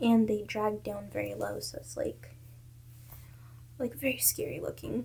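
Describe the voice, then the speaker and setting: A woman talks with vocal fry. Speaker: video blogger. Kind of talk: casual monologue. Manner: animated.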